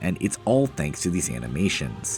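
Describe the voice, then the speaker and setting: A man speaks fairly quickly. Background music can be heard behind him. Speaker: video game reviewer. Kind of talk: video essay narration.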